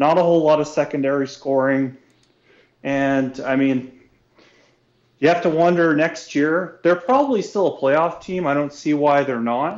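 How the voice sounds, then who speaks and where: A man talks at a moderate pace with a plain, everyday voice. His pitch is fairly high, with ordinary pitch variation. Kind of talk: casual analysis chat. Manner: relaxed, conversational.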